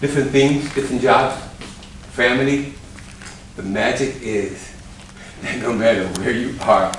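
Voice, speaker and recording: Noticeable background noise and audible room echo fill the recording. A man speaks at a fairly slow pace with lively intonation. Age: 60s. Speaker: dance choreographer and show host. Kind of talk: motivational talk to dancers. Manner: animated.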